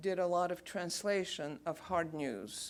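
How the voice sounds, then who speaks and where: A woman speaks very slowly in a Bulgarian accent with a fairly low pitch. The recording is very clean, with a silent background. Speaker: radio announcer. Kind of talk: lecture talk to audience.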